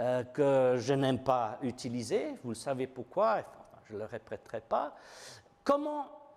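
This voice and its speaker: A man with a non-native accent and a fairly high voice, very slow pace and very wide pitch swings. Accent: foreign accent in French. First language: not French (speaking French). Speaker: preacher. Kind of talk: sermon. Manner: halting, many fillers.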